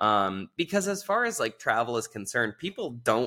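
A man speaks in an American accent at a fairly slow pace, animated in tone. His tone is bright and sharp, in a very clean recording with a silent background. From Southern California. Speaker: author and diplomat. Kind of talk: casual interview chat. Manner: animated, joking.

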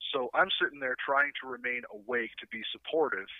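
With a Canadian accent, a man has a normal speaking voice pitched fairly high. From Canada. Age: 40s. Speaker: guitarist and streamer. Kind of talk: casual chat.

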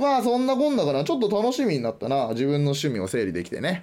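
Pitch swings very widely as a man speaks at a fairly quick pace. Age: 20s. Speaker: podcast host. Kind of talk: casual solo talk.

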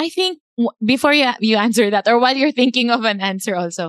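A woman's high-pitched voice comes through dry and close, with no echo. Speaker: podcast co-host. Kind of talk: casual interview chat, Taglish.

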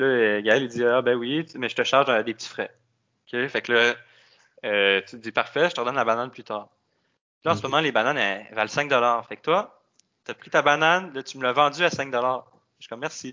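A man in a Quebec accent, fairly quick in pace yet with long, frequent pauses and big swings in loudness. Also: medium pitch for a man, ordinary pitch variation. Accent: Québécois French. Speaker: economist. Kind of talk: casual interview.

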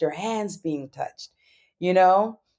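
A woman with an American accent speaks at a fairly slow pace in a plain, everyday voice. Her pitch is medium, with ordinary variation. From New York. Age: 40s. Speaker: tantra teacher. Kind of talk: interview.

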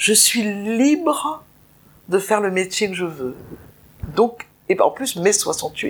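A woman's medium-pitched voice with very wide pitch swings, a very slow pace, and long, frequent pauses. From Nice, southern France. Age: 70s. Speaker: interviewee sharing life story. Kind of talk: personal testimony. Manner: halting, repetitive.

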